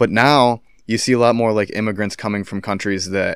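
At a moderate pace, a man talks with a fairly low pitch and an ordinary speaking voice, in a very clean recording with a silent background. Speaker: podcast co-host. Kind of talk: casual banter.

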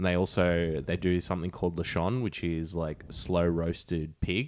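A man speaks with an Australian accent at a moderate pace and a very deep, low pitch. His intonation is fairly even, and the recording is very clean with a silent background. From Sydney, Australia. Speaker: podcast host. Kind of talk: casual chat.

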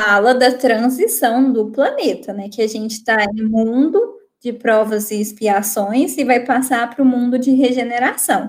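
A woman speaks fairly slowly in a high pitch with fairly even intonation and hardly any pauses. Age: 20s. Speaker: master's student, spiritist guest. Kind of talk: casual chat.

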